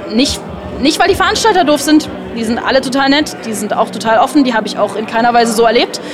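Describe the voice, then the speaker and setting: With lively intonation and a high pitch, a woman speaks at a very fast pace against noticeable background noise. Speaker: event guest, partner of a caster. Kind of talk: casual interview. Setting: event venue lobby.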